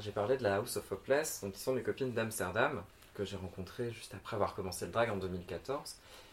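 A man at fairly low pitch, somewhat breathy, with ordinary pitch variation, a fairly quick pace and big swings in loudness. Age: 30s. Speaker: drag queen. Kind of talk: casual chat. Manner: hesitant, many fillers.

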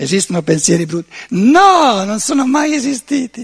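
A man is speaking. His pitch swings very widely. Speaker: lecturer on philosophy. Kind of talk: seminar lecture.

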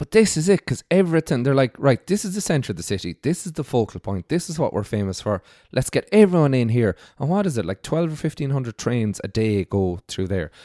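Recorded very cleanly over a silent background, dry and close with no echo, a man with a western Irish accent talks fairly quickly at a medium pitch, his dark, mellow tone sweeping through very wide pitch swings. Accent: Irish (west of Ireland). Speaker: hospitality industry worker. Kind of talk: casual chat.

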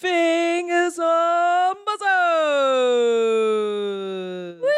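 The speaker puts on a character voice pitched extremely high. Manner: booming, theatrical.

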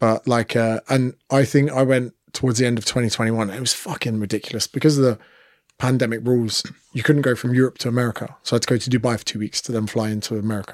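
Very fast and fairly even in intonation, a man speaks at medium pitch with an English accent. The sound is dry and close with no echo, on a very clean recording with a silent background. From England. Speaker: personal trainer and comedian. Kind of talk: casual chat.

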